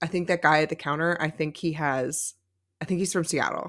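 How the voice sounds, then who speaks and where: On a very clean recording with a silent background, a woman talks with an American accent. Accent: American accent, non-regional by own account. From California. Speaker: podcast co-host. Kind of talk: casual chat. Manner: animated.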